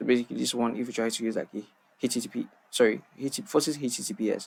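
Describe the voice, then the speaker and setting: A man talks at a medium pitch with vocal fry. His pace is very fast. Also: ordinary pitch variation. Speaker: cybersecurity tutorial creator. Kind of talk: tutorial. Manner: halting, many fillers.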